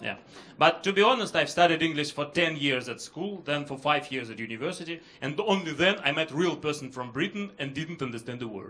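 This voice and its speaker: A man with a Russian accent talks at a moderate pace, his pitch fairly high and his intonation lively. Noticeable background noise runs behind him. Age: 30s. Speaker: comedian. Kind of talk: stand-up. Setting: stage with audience.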